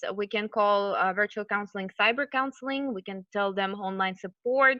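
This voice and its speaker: This is a woman with an unremarkable speaking voice, pitched fairly high. She keeps a moderate pace with ordinary pitch variation. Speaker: college program manager and counselor. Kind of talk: online lecture / webinar.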